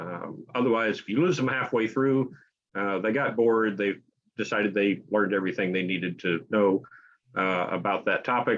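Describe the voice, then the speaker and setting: With an American accent, a man at a fairly low pitch talks at a moderate pace with ordinary pitch variation. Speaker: author and editor. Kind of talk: interview. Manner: hesitant, many fillers.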